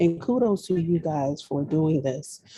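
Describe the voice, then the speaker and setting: A soft-spoken woman talks at a fairly slow pace, her very deep, low voice moving with lively intonation. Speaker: audience member. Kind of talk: audience question. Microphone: too quiet.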